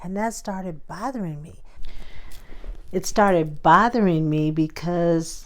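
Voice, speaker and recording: A woman with a fairly low-pitched voice speaks with ordinary pitch variation. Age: 60s. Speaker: lifestyle vlogger. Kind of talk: casual storytelling monologue. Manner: animated.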